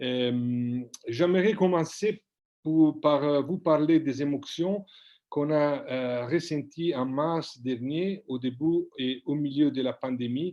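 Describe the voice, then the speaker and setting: Speaking at a very slow pace, a man with an Italian accent uses a fairly high pitch and ordinary pitch variation. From Italy, Tuscany. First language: Italian (speaking French). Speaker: politician. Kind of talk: prepared speech read aloud. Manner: halting.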